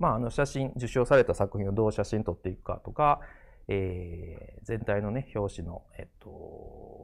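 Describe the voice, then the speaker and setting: Here a man talks at a moderate pace. His loudness swings widely. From Japan, Kobe (Kansai); Japan. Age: 40s. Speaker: graphic designer and art director; design lecturer. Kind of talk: lecture. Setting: studio. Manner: halting, many fillers. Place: studio. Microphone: lapel.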